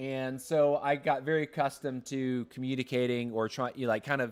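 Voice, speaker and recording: With an American accent, a man talks at a moderate pace and medium pitch on a very clean recording with a silent background. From US South, Atlanta. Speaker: gaming streamer. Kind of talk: live gaming stream chat. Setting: livestream. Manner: halting, frequent word repetitions.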